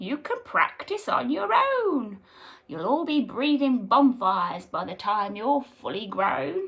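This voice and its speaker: Using a put-on character voice, a woman speaks fairly slowly at a high pitch. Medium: read story. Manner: brisk, encouraging.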